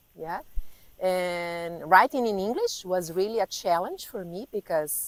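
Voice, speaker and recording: A woman talks with a Portuguese accent and ordinary pitch variation. The sound is dry and close with no echo. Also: medium pitch for a woman, fairly slow pace, big swings in loudness. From Brazil. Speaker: life coach. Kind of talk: interview. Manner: halting.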